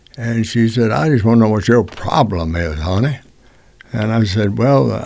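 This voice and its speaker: Over noticeable background noise, a man speaks with a Texan accent. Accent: Texas Southern US. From Texas. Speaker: music industry veteran. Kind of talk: storytelling. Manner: conversational, with frequent fillers.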